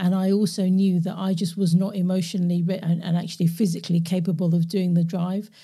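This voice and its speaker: Delivered at a very fast pace with hardly any pauses, the speech is monotone and flat, with a dark, mellow, somewhat breathy tone and very even loudness. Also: woman, fairly low pitch for a woman. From London, England. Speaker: podcast host and coach. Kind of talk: casual interview chat. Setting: remote call.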